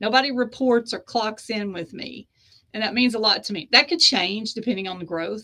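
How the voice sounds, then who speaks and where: The speaker has a Southern US accent and a bright, sharp tone. The pace is fairly quick, with ordinary pitch variation. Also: woman. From US South (East Tennessee / Georgia). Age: 50s. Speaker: author and publisher. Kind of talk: interview conversation.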